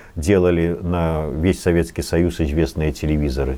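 This man's voice is dark and mellow, with a very deep, low pitch. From Belarus, Molodechno. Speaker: radio host. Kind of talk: interview.

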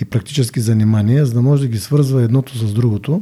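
A man's somewhat breathy voice has a dark, mellow tone and ordinary pitch variation. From Bulgaria, Burgas. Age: 50s. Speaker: gym owner and fitness trainer. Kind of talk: casual interview chat. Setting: studio.

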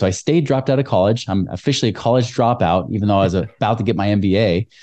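Speaking at a very fast pace with an American accent, a man uses lively intonation and a dark, mellow tone at a fairly low pitch against a quiet background. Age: 40s. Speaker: financial advisor. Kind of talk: casual interview.

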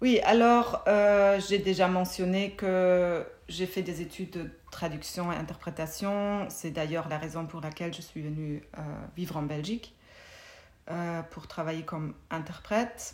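Speaking with a German accent at a fairly slow pace, a woman with a fairly low pitch keeps her intonation fairly even while her loudness swings widely. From Germany. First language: German (speaking French). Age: 40s. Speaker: mindfulness teacher. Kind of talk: casual interview.

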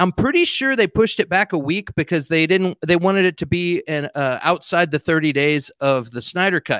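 A man talks at a high pitch and a moderate pace with ordinary pitch variation and hardly any pauses. The sound is dry and close, without echo. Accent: Texan. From Texas. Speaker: podcast guest, entertainment commentator. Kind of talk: casual chat. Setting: borrowed room at friend's place, video call.

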